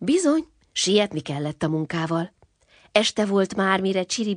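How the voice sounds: The speaker uses a natural reading voice over a quiet background.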